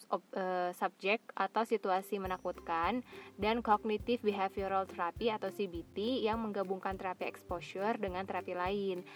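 Dry and close with no echo, the recording captures a woman in a normal speaking voice. She talks at a moderate pace and medium pitch with fairly even intonation. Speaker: solo podcaster. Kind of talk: reading aloud; casual monologue. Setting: in a car.

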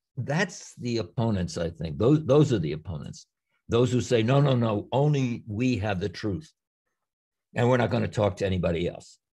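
A man speaks at a moderate pace and a medium pitch, his tone dark, mellow and somewhat breathy. His pitch swings very widely, with a quiet background behind him. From New York area, US. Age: 80s+. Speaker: theologian and retired professor. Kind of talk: interview. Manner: halting.

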